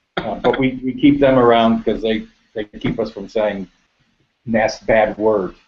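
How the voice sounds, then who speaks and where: A man's medium-pitched voice with an American accent, fairly even intonation and a fairly slow pace. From United States. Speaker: business owner. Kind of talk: interview. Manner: halting.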